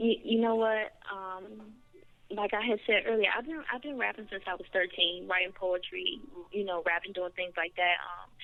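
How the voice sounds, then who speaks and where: At a moderate pace, a woman speaks with medium pitch and ordinary pitch variation. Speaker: rapper. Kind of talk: radio interview. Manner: soft-spoken.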